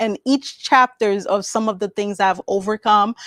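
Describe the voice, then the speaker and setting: A woman's fairly high voice in a Haitian accent, with fairly even intonation and a dry, close sound with no echo. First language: Haitian Creole. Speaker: author and speaker. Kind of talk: interview. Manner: halting.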